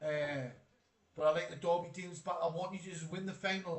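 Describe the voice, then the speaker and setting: With a Geordie accent, a man speaks at a very fast pace and high pitch amid noticeable background noise. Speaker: football streamer. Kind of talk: live stream chat reading comments. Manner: casual, animated.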